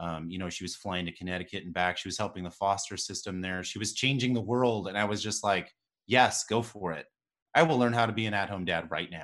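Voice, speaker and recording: A man with an ordinary speaking voice talks at a fairly quick pace and a fairly low pitch with ordinary pitch variation, on a very clean recording with a silent background. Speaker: relationship coach. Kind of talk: interview.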